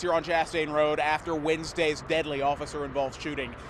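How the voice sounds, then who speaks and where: Using a normal speaking voice, a man with an American accent talks at a fairly quick pace and a fairly high pitch. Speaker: TV news anchor and reporter. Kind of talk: TV news anchor and reporter delivery.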